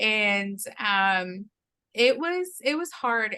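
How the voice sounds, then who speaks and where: Bright and sharp in tone, a woman with a medium pitch speaks with a Spanish accent. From Mexico, moved to Oklahoma at nine. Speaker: interview guest. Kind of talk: casual interview, personal testimony.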